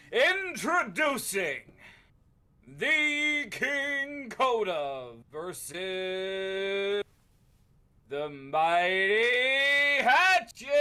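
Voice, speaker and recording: A man uses a put-on character voice pitched high. He speaks very slowly in a raised, projected voice with very wide pitch swings. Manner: booming, dramatic.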